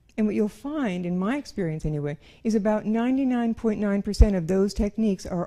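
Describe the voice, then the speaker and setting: A woman speaks at a medium pitch and a fairly quick pace, her dark, mellow tone carried by lively intonation. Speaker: presenter on fetal alcohol syndrome. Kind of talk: lecture. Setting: room with audience. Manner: fast.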